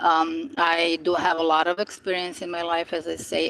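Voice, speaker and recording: A woman is speaking. Her pace is moderate. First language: non-English native language. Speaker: spiritual YouTuber. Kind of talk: casual live-stream monologue. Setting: outdoors by the ocean. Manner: hesitant, many fillers.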